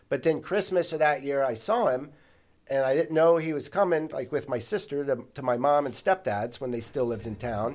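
This man uses an ordinary speaking voice, pitched fairly high. He talks at a fairly quick pace with lively intonation. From Ohio (Columbus area), from age ten; born in St. Louis. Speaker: podcast guest, counselor and writer. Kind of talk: casual interview.

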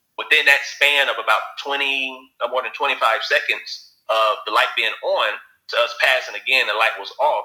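Southern US accent on a man, moderate pace. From Alabama. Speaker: writer and producer. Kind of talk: interview.

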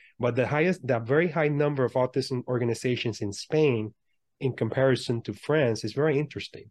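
A man's normal speaking voice at a medium pitch, fairly quick, with ordinary pitch variation, dry and close with no echo against a quiet background. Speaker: podcast host and motivational speaker. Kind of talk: interview.

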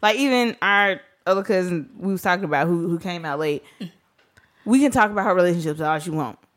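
Very fast and with lively intonation, a woman speaks in a Southern US accent. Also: medium pitch for a woman. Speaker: podcast host. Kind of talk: casual chat.

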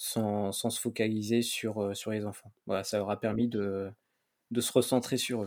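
Speaking at a fairly slow pace, a man uses a fairly low pitch and a monotone, flat intonation. The recording is very clean, with a silent background. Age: 30s. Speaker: bicycle traveller and podcaster. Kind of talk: casual interview.

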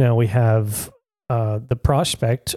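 This voice has a dark, mellow tone, is somewhat breathy, and keeps a fairly even intonation in a dry, close sound with no echo. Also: man. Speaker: podcast co-host. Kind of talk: casual discussion.

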